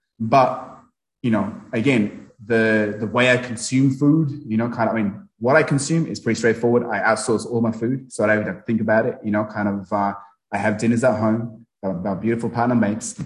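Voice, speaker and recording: A man with a medium pitch talks somewhat breathily at a fairly quick pace, his intonation fairly even. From Nepal, then UK boarding school. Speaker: fitness coach. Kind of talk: casual interview chat. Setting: video call.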